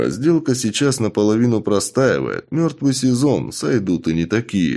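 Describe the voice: Lively intonation colors this plain reading aloud.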